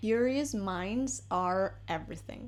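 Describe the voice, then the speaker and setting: A woman with a Spanish accent. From Argentina. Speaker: English teacher. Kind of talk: casual vlog-style lesson. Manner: conversational, chatty.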